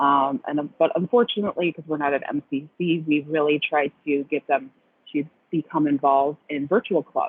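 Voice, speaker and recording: A woman talks at a moderate pace. Her pitch is very deep and low, with ordinary variation. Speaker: program director. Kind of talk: webinar presentation. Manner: many filler ums.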